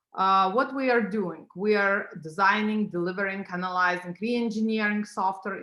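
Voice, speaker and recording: A woman speaks with a non-native accent at a medium pitch. Her pace is fairly quick. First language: not English. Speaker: tech company founder. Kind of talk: business pitch presentation. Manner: halting, many fillers.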